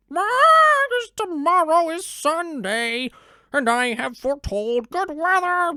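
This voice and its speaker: An extremely high, put-on character voice leaps through very wide pitch swings. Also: fairly slow pace. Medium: read story. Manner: stammering, nervous.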